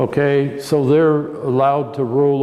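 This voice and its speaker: Audible room echo and noticeable background noise around a man with an American accent. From Oregon, US Pacific Northwest. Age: 80s+. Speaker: vineyard owner and winemaker. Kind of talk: oral history interview. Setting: at a winery. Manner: halting, many repetitions.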